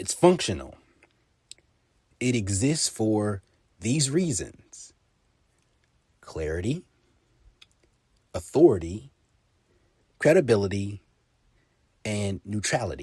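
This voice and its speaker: A man with a fairly low, dark, mellow voice speaks very slowly and somewhat breathily, with long, frequent pauses and very wide pitch swings. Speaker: podcast host with broadcast/journalism training. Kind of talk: casual talk to camera, podcast monologue. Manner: conversational, explanatory.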